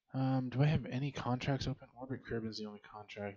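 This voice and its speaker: A man speaks quietly. His intonation is fairly even, and his pace is moderate. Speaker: video game streamer. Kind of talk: gameplay commentary. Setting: home recording. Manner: quiet, low voice.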